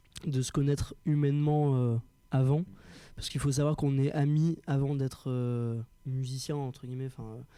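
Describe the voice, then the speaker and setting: At a moderate pace, a man with a fairly high voice speaks in a monotone, flat intonation. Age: young. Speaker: rock band singer. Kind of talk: interview. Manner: halting.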